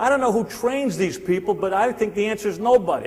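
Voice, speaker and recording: A man speaks in a high voice with a New Jersey accent. Noticeable background noise is present. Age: 60s. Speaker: sales speaker. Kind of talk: motivational seminar talk. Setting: stage with audience. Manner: animated.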